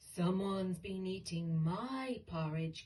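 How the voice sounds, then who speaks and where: A put-on character voice, female-sounding and growling, at a middle pitch and a fairly slow pace. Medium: read story.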